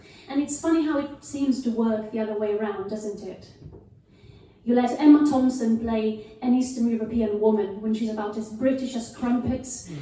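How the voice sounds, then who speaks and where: A woman talks at a moderate pace with fairly even intonation. Her voice is fairly high, and room echo is audible. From Italy. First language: Italian. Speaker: actor and cabaret performer. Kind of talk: stage monologue. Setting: stage with live audience.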